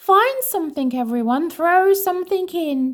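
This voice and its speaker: Putting on a character voice, a woman speaks at a moderate pace. Her pitch is extremely high and squeaky. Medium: read story.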